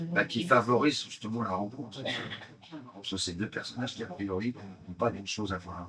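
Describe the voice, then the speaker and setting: Noticeable background noise sits behind a man with fairly low pitch. He uses lively intonation and takes long, frequent pauses. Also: moderate pace. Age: 60s. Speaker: stage actor. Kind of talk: promotional interview. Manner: hesitant, many fillers.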